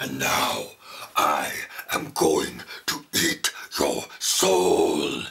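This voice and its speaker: Very slow, raspy speech from a man in a put-on character voice. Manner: menacing.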